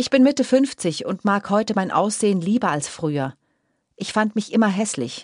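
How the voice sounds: In a very clean recording with a silent background and a dry, close sound with no echo, a woman speaks at a moderate pace with a medium pitch, a slightly mellow tone and lively intonation.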